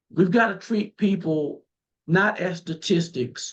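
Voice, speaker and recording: A high-pitched man with a Southern US accent, at a fairly slow pace with ordinary pitch variation. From rural southeastern North Carolina. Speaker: political candidate. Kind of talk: interview. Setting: remote call.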